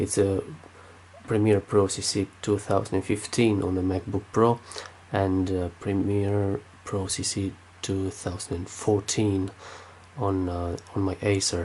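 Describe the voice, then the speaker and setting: A man's fairly low, somewhat breathy voice in a Romanian accent, dark and mellow in tone, with monotone, flat intonation, a very slow pace and long, frequent pauses. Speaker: tech youtuber. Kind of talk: tech review. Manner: halting, many fillers.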